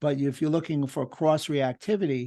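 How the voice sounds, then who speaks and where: Against a quiet background, a man with a New York accent talks with fairly even intonation. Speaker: doctor and lecturer. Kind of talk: webinar Q&A discussion.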